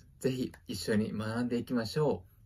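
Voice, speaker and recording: A man talks with a somewhat breathy quality. His pitch varies in an ordinary way. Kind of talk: friendly self-introduction and language lesson. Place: home room. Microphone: phone near.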